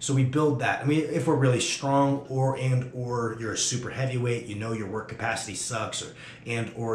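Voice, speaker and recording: A man talks at a fairly quick pace with ordinary pitch variation, with light background noise and audible room echo. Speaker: strength coach. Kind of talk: instructional talk to camera. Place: gym.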